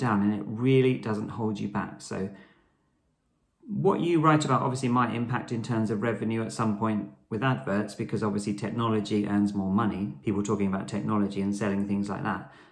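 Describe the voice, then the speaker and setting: A man speaks at a fairly quick pace and a fairly low pitch, with ordinary pitch variation. Audible room echo surrounds his voice. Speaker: blogger. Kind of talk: casual vlog tutorial. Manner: fast.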